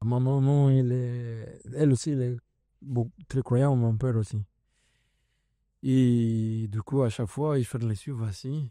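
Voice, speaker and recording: In a Latin American Spanish accent, a man speaks at a very slow pace with long, frequent pauses, a medium pitch, a dark, mellow tone and fairly even intonation, the sound dry and close with no echo on a very clean recording with a silent background. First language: Spanish (speaking French). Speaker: CrossFit athlete and coach. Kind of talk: casual podcast interview. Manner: halting, searching for French words.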